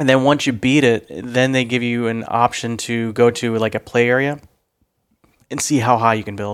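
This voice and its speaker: At a moderate pace, a man with an unremarkable speaking voice talks at a medium pitch with fairly even intonation, recorded very cleanly against a silent background. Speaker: podcast co-host. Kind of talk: casual chat. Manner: joking, does a put-on radio voice.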